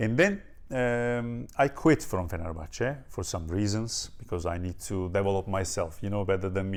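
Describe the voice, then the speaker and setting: A man with a Turkish accent speaks at fairly low pitch, his pitch varying in an ordinary way. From Turkey, near Ankara. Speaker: strength and conditioning coach. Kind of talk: interview. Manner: halting, many fillers.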